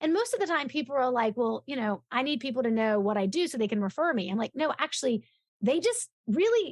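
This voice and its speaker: At a very fast pace, a woman with a high pitch makes very wide pitch swings, the sound dry and close with no echo. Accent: American. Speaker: referral business coach. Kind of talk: interview. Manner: energetic.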